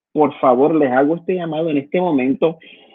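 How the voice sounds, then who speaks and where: A man speaks in a Puerto Rican accent. His pitch is fairly high. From Puerto Rico. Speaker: pastor. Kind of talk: sermon-style exhortation in online service. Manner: halting, many repetitions and fillers.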